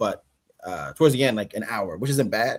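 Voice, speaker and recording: A man is talking. There is ordinary pitch variation in his voice. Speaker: actor. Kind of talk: casual chat.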